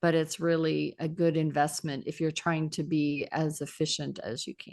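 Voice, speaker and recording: A woman talks at a moderate pace in a very deep, low voice. Her intonation stays monotone and flat against a quiet background. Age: 60s. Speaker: public speaking trainer and podcaster. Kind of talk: casual interview chat.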